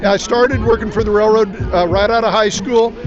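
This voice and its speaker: Music runs in the background. A man with a high pitch talks at a very fast pace. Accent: Midwestern American. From Kansas. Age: 60s. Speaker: political candidate. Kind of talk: street interview.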